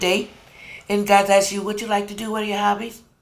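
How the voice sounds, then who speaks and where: A woman talks at a very fast pace in an animated tone at medium pitch, with noticeable background noise and audible room echo. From California. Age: 60s. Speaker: home cook. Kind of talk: cooking demonstration. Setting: home kitchen.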